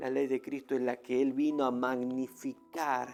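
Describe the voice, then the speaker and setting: Fairly slow speech over music in the background. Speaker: religious teacher. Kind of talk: religious debate response. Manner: halting.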